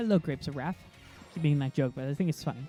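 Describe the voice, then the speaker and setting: A gruff put-on character voice over faint music in the background. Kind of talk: classroom address. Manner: gruff, strong demeanor.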